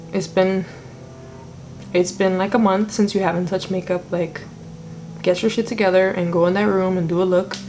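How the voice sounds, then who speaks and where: A woman's medium-pitched voice, monotone and flat, with long, frequent pauses and music in the background. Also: fairly quick pace. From Brooklyn, New York (Puerto Rican family). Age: 20s. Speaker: makeup artist and vlogger. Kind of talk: casual chat.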